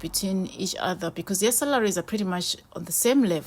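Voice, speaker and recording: A woman speaks with a non-native accent. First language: not English. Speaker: vlogger. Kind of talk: casual talk to camera.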